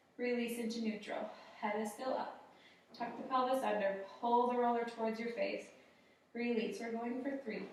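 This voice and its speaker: A woman talks at a fairly high pitch and a moderate pace, with monotone, flat intonation. Noticeable background noise runs underneath. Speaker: fitness instructor. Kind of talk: workout class instruction. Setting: studio. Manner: soft-spoken.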